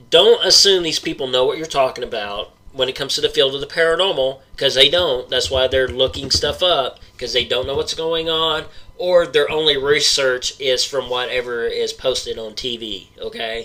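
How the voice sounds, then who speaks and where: A man with an Oklahoma accent at a moderate pace, hardly any pauses, and noticeable background noise. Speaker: paranormal podcast host. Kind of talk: rant. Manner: animated.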